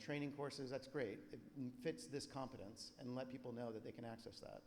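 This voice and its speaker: A man with a medium pitch and vocal fry speaks at a fairly quick pace. The room echo is audible. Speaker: conference presenter. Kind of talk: conference presentation. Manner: fast.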